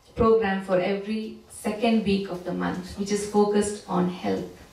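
In audible room echo, a woman speaks at a fairly slow pace. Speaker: church service host. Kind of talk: announcements.

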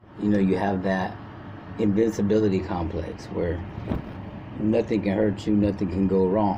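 Over noticeable background noise, a man speaks in a fairly low pitch at a moderate pace, flat and monotone, very even in loudness, with long, frequent pauses. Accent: American. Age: 40s. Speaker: prison inmate. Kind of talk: storytelling. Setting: phone call. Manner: halting.

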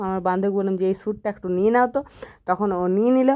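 Her medium pitch and fairly even intonation give this woman an unremarkable speaking voice. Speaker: vlogger. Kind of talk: casual vlog.

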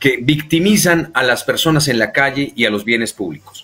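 His intonation is lively. The man's tone comes across bright and sharp. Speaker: interviewer, co-host. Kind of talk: political interview.

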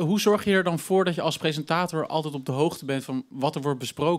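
In a normal speaking voice, a man talks at a fairly quick pace. His pitch is fairly high and varies an ordinary amount. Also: quiet background. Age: 20s. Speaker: student presenter; presenter. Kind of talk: live interview. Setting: stage with audience. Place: studio. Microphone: handheld.

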